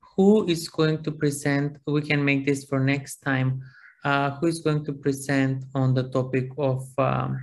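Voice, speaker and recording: The speaker has a Macedonian accent. The pace is fairly slow. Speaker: university lecturer. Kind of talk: seminar class discussion. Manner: halting.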